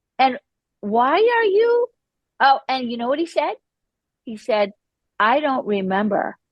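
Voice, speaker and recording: Pitched high, a woman talks at a fairly slow pace with very wide pitch swings and long, frequent pauses. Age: 60s. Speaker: guest sharing recovery story, hypnotherapist and artist. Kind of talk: podcast interview, personal testimony. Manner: animated, conversational.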